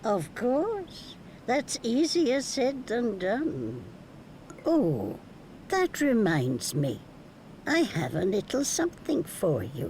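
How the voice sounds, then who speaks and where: A put-on character voice with a fairly high pitch comes at a very slow pace with long, frequent pauses over clear background noise. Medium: video game. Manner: knowing, teasing.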